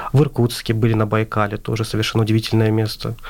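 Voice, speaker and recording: A man's medium-pitched voice at a very fast pace. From Azerbaijan. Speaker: translation student. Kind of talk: radio interview.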